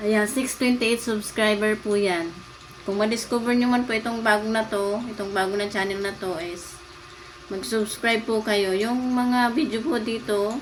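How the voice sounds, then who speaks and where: A woman speaks at a fairly high pitch with fairly even intonation. Audible room echo and noticeable background noise surround her voice. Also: moderate pace. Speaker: lifestyle vlogger. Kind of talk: casual vlog talk.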